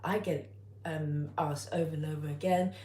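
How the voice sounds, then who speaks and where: With vocal fry and a very deep, low pitch, a woman speaks at a moderate pace amid audible room echo. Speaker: cooking youtuber. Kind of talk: live stream tutorial. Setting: home, live stream on tripod. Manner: hesitant, many fillers.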